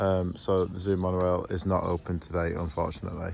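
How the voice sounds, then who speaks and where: This man is soft-spoken. He keeps a moderate pace. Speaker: vlogger giving a zoo tour. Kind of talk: casual walking vlog narration. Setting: outdoors at a zoo. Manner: quiet, soft-spoken.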